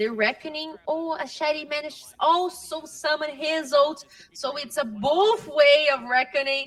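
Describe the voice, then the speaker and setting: With a Portuguese accent, a high-pitched woman talks at a moderate pace with hardly any pauses and ordinary pitch variation, over noticeable background noise. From Brazil. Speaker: esports caster. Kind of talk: live commentary.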